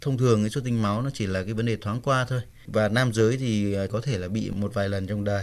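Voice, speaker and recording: A man's fairly low, plain, everyday voice at a fairly quick pace, with fairly even intonation and hardly any pauses. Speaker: doctor. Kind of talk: radio advice call-in. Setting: studio.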